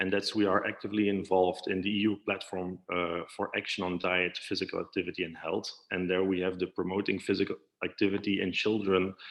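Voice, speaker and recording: In a very deep, low voice, a man talks with monotone, flat intonation. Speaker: physiotherapy association representative, panelist. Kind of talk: conference panel presentation. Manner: fast; hesitant, many fillers.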